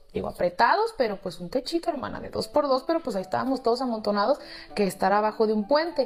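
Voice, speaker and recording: A woman speaks at a fairly high pitch with lively intonation. Music plays in the background. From Mexico, Guadalajara, Jalisco. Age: 40s. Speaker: storyteller sharing life story. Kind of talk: personal testimony, casual storytelling. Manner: emotional, conversational.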